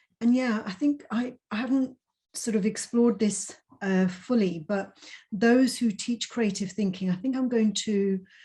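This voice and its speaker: A woman's fairly high, somewhat breathy voice, dark and mellow in tone, with fairly even intonation and a fairly slow pace. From Punjab. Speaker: conference host. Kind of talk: casual chat.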